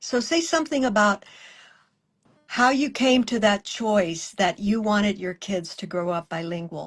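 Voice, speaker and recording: A woman talks with an American accent. Her voice is somewhat breathy and her pace fairly slow. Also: medium pitch for a woman, lively intonation. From South Texas. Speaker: interviewer. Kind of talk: interview conversation.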